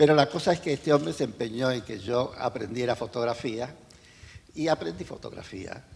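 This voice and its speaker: The voice is somewhat breathy, with lively intonation and big swings in loudness. It moves at a moderate pace. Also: man, medium pitch for a man. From North Africa, Mediterranean coast. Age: 80s+. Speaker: photojournalist. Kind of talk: interview, life story.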